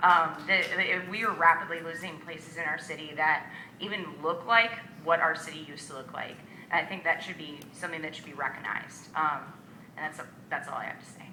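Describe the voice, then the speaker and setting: Over noticeable background noise and audible room echo, a woman with a fairly low pitch talks at a fairly quick pace, her intonation fairly even but her loudness swinging widely. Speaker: local resident. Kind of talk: public comment speech. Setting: city hall board hearing. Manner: shaky voice.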